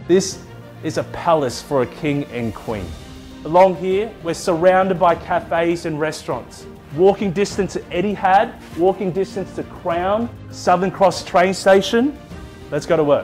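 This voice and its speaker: A man at a high pitch in an upbeat, enthusiastic tone, with music in the background. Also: ordinary pitch variation, fairly slow pace. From Australia. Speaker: auctioneer. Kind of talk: real estate auction opening and property pitch.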